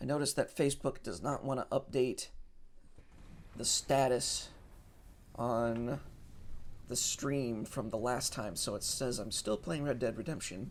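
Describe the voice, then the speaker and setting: On a very clean recording with a silent background, a man mumbles at a moderate pace, leaving long, frequent pauses. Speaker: gaming streamer. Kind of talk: let's play commentary. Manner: mumbling; hesitant, many filler words.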